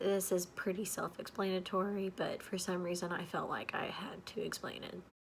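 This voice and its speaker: Whispering at a moderate pace. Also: woman. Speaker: book youtuber. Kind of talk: casual vlog talk. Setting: home with people sleeping. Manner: quiet.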